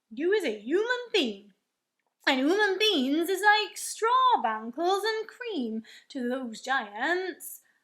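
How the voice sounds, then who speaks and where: A woman does a put-on character voice, raised and projected at extremely high pitch. She goes very slowly, with very wide pitch swings. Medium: read story. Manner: ungrammatical, full of made-up words.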